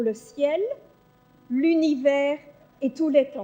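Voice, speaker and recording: Her voice high, a woman speaks with fairly even intonation. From Belgium. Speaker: psychologist. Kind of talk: conference talk. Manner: hesitant, many fillers.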